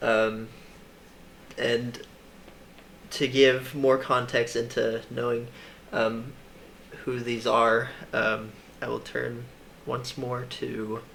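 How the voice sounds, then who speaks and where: With audible room echo, a man of medium pitch speaks very slowly in a monotone, flat intonation, leaving long, frequent pauses. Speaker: Bible teacher. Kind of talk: casual Bible study discussion. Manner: halting, many fillers.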